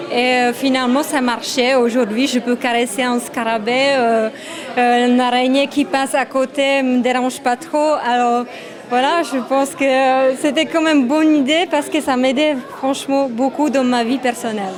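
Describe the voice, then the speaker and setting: Against noticeable background noise, a woman with a Czech accent talks at a high pitch with fairly even intonation. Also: moderate pace. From Czech Republic. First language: Czech (speaking French). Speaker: photographer, former model. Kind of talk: interview. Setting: photo exhibition event. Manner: halting, many hesitations.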